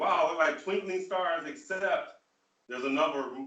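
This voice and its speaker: With an American accent and lively intonation, a man talks in a room with audible echo. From US Midwest (rural Michigan). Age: 60s. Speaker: spiritual leader. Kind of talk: online Q&A forum talk.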